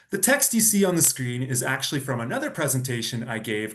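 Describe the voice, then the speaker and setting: Somewhat breathy, a man with a Canadian accent speaks at a fairly quick pace in a medium pitch with lively intonation. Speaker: data strategist. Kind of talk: presentation.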